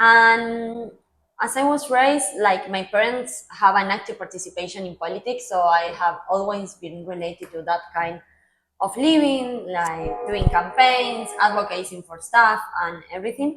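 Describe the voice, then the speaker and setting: Her loudness swings widely and her intonation is lively. The woman has a medium pitch and an Argentine accent. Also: moderate pace. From Argentina, Mar del Plata. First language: Spanish. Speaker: public policy professional. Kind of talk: interview. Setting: podcast.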